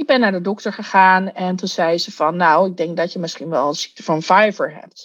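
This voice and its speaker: The background is quiet as a woman talks at a fairly quick pace. She has an ordinary speaking voice and a medium pitch. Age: 40s. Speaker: coach. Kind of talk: interview.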